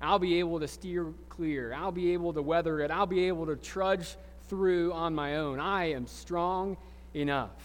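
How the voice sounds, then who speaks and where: A man with a Southern US accent, high pitch, fairly even intonation and a fairly slow pace. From US South, Alabama Gulf Coast. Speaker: pastor. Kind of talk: sermon. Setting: church. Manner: halting.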